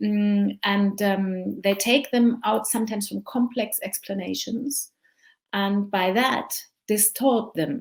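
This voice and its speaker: On a very clean recording with a silent background, a woman speaks somewhat breathily at a medium pitch with ordinary pitch variation. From Germany. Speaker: journalist and podcast host. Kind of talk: conference talk. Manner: hesitant, with frequent fillers.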